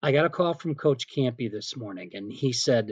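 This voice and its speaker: A man with medium pitch and an ordinary speaking voice. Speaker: PA announcer. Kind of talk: interview answer.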